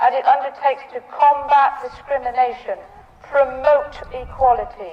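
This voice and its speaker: With noticeable background noise, a woman speaks at a high pitch and a fairly slow pace with ordinary pitch variation. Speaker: Grand Bard of a Cornish cultural ceremony. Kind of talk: ceremonial speech to an audience.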